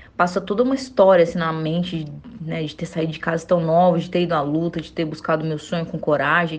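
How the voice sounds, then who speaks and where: A woman's somewhat breathy, fairly low-pitched voice at a fairly quick pace. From Brazil, interior of Goiás. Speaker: Olympic wrestler. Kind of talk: interview.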